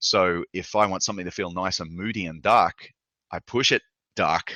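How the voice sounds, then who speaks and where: A man's very deep, low voice with an Australian accent and fairly even intonation. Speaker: video game lighting artist. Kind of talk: lecture. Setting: live online session. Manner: fast.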